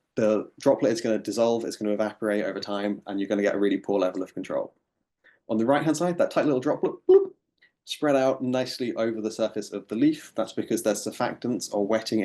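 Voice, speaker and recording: A man with an English accent, medium pitch and a dark, mellow tone, at a very fast pace with ordinary pitch variation, over a quiet background. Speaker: ecotoxicologist, researcher. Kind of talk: lecture. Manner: hesitant, many fillers.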